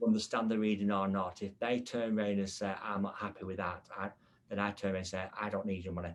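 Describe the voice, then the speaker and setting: This man talks at a very fast pace with an English accent and a fairly low pitch. His intonation is flat and monotone throughout. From England. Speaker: podcast host and medium. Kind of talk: casual chat.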